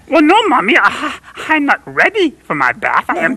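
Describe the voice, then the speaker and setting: A high-pitched, cartoonish character voice moves along at a moderate pace. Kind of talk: children's TV puppet comedy. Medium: puppet show. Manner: earnest, rambling, hesitant with fillers.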